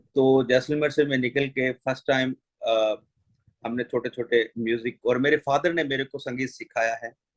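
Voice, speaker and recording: A man at a medium pitch speaks with monotone, flat intonation. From Jaisalmer, Rajasthan, India. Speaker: folk musician. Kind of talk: interview.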